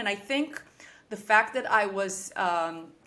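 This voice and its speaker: A woman speaks with a bright, sharp tone. Her intonation is lively. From Israel and Kenya (Nairobi, British school). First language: Hebrew. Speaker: business founder. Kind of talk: podcast interview. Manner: halting, many fillers.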